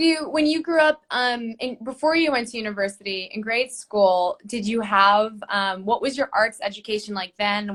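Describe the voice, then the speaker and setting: With an American accent, a woman talks at a moderate pace with hardly any pauses, using an ordinary speaking voice with a fairly high pitch and ordinary pitch variation. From United States. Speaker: interviewer, arts advocacy ambassador. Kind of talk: casual interview.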